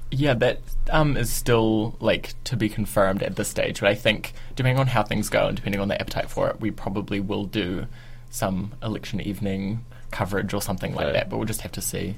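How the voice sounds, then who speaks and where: Somewhat breathy speech at a fairly quick pace with fairly even intonation. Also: man, fairly low pitch for a man. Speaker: student producer. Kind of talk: radio interview, casual chat. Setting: studio.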